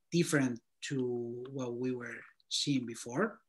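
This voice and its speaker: A man with a Spanish accent against a quiet background. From Spain. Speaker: designer reviewing portfolios. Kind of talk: portfolio critique and career advice. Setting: video call. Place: home room. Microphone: video call.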